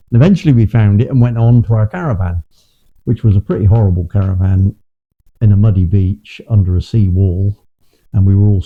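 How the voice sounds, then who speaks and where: Speaking at a fairly quick pace, a man with a fairly low pitch and a dark, mellow tone sounds somewhat breathy, with fairly even intonation, very even loudness, and a dry, close sound with no echo. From England, Bristol. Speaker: interviewee recalling childhood. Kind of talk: personal reminiscence. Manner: halting, repeats words.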